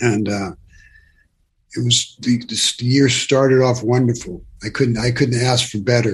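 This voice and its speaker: At a fairly slow pace, a man with a medium-pitched, somewhat breathy voice talks with fairly even intonation. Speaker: near-death experiencer. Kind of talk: interview storytelling. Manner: halting, hesitant.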